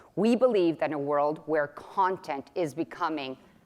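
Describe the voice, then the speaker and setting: In a Spanish accent, a woman talks in an animated tone. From Mexico, Guadalajara. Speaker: company executive. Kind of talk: keynote presentation. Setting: stage with audience.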